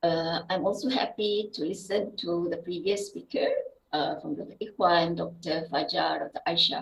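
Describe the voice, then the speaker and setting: Fairly slow, somewhat breathy speech from a woman, fairly low in pitch, with lively intonation. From Indonesia, West Sumatra (Payakumbuh). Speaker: university lecturer and scientist. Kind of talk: academic seminar talk. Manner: halting, many fillers.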